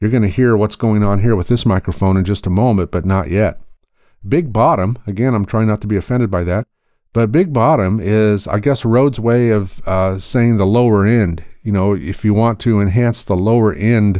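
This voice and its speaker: A man speaks in a dark, mellow tone at a fairly low pitch and a moderate pace. His pitch varies in an ordinary way, his loudness stays very even, and the background is quiet. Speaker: audio tutorial youtuber. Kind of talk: tutorial. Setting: sound-treated spare bedroom. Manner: casual, conversational. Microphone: studio condenser mic, later USB mini mic.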